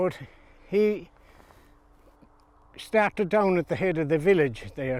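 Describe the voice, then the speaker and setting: Speaking in a western Irish accent, a man talks at a very slow pace. His intonation is lively. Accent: rural west of Ireland. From Ireland, County Galway. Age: old. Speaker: retired farmer. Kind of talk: interview storytelling. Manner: halting.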